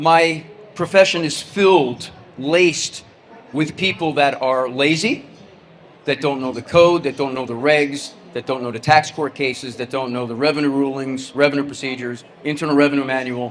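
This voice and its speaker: A man with an American accent speaks at a moderate pace with fairly even intonation. His pitch is fairly high, and background noise is noticeable. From New Jersey. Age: 60s. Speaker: tax firm CEO, keynote speaker. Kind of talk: keynote presentation. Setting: stage with audience.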